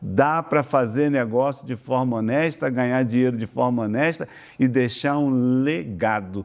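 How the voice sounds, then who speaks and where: A man speaks at a fairly slow pace in a plain, everyday voice. His pitch varies in an ordinary way. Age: 60s. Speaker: oil and gas consultant. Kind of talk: interview.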